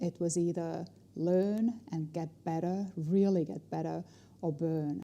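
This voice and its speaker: The voice moves at a very slow pace with fairly even intonation and a dark, mellow tone. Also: woman, fairly low pitch for a woman. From Estonia. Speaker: negotiation trainer and speaker. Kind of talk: interview.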